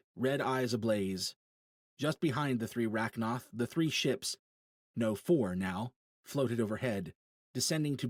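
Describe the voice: Behind the plain reading aloud, the background stays quiet.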